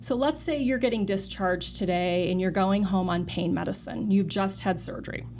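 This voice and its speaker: With hardly any pauses, a woman talks amid audible room echo and noticeable background noise. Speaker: nurse and clinical research director. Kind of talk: interview. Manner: fast.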